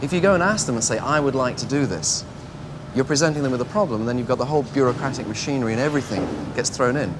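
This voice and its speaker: Against noticeable background noise, a man talks very fast at a medium pitch with lively intonation. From Manchester, England. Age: 30s. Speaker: entrepreneur. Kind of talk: interview answer.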